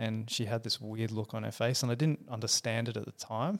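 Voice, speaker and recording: With an Australian accent and a medium pitch, a man speaks on a very clean recording with a silent background and a dry, close sound with no echo. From Perth, Western Australia. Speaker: engineer and motorcycle company founder. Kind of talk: interview. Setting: studio.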